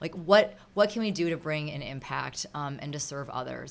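With an Upper Midwest accent, a woman talks in a very deep, low voice. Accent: Upper Midwest American. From Minnesota. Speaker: charity volunteer. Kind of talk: interview.

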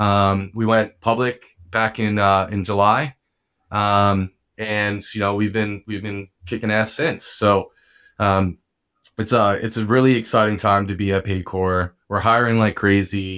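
A man speaks at a fairly slow pace with a fairly low pitch and a bright, sharp tone. His intonation is monotone and flat, in a very clean recording with a silent background. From New Jersey, Bergen County. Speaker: revenue operations director. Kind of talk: casual interview chat. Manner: halting, many fillers.

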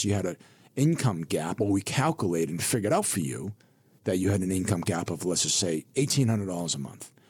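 An American-accented man with an unremarkable speaking voice at a fairly quick pace. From US Northeast (Burlington, Massachusetts). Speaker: financial advisor. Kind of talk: radio interview.

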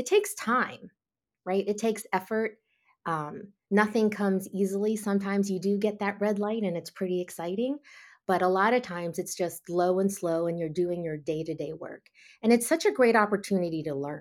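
In a very clean recording with a silent background, a woman with a normal speaking voice talks at a moderate pace, her pitch medium and its variation ordinary. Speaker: security content executive. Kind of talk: interview and panel recap.

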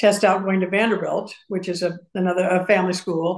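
A woman speaks at a medium pitch with an American accent. Her intonation is monotone and flat. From US Midwest (Madison, Wisconsin and Urbana, Illinois). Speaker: university fundraising executive. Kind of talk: interview.

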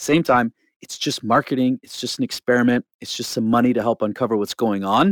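A man with a Canadian accent and an ordinary speaking voice, medium in pitch with ordinary variation, at a fairly quick pace, in a dry, close sound with no echo on a very clean recording with a silent background. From rural Alberta, Canada. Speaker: nonprofit marketing lead. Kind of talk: interview. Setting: studio.

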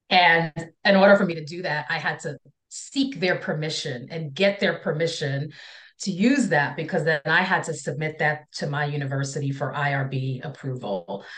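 A woman's very deep, low voice with lively intonation, moderate pace and a quiet background. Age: 40s. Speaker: counselor and speaker on impostor feelings. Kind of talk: casual interview conversation.

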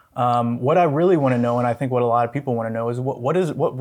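A man at medium pitch, very fast pace and fairly even intonation, on a very clean recording with a silent background. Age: 30s. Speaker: podcast host and producer. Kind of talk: interview.

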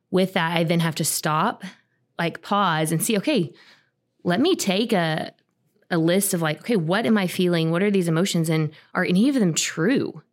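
A woman with a normal speaking voice and a fairly low pitch talks at a moderate pace with ordinary pitch variation. The recording is very clean with a silent background, and her loudness is very even. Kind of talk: casual podcast conversation.

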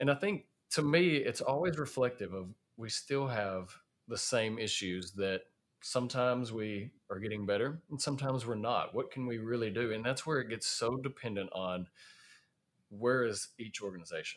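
Speaking at a moderate pace with a Southern US accent, a man uses a medium pitch and ordinary pitch variation on a very clean recording with a silent background. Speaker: podcast host, safety professional. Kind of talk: casual podcast conversation.

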